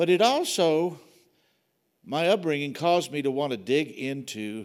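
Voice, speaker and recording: A man's fairly high-pitched voice with an American accent. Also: very clean recording, silent background. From Kentucky. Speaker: pastor. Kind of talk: informal communion talk. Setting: church. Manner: casual, conversational.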